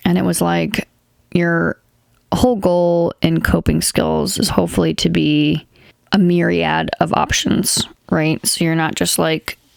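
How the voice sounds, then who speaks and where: Mumbling at a fairly slow pace, a woman is heard in a dry, close sound with no echo. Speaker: podcast host. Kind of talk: casual monologue.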